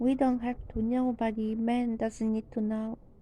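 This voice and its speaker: With a non-native accent, a woman speaks in a flat monotone at a fairly slow pace. Her voice is fairly high in pitch and dark and mellow in tone. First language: not English. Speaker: religious teacher. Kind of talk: sermon.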